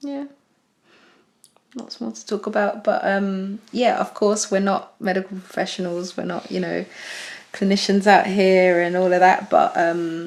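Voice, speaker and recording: A woman talks at a fairly slow pace and a medium pitch with ordinary pitch variation. Her loudness swings widely. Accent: British. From UK. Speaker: podcast co-host. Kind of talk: casual chat.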